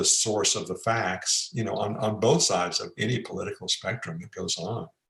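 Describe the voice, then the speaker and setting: A man with an American accent, somewhat breathy, at a fairly low pitch and a moderate pace. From Texas. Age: 70s. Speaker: psychiatrist. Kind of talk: interview.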